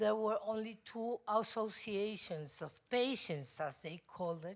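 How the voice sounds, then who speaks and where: This woman speaks at a fairly slow pace with a Spanish accent. Her pitch is fairly high, with ordinary variation. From Spain, Madrid. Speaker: mental health advocacy organization president. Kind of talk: conference presentation read from notes. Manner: halting, hesitant.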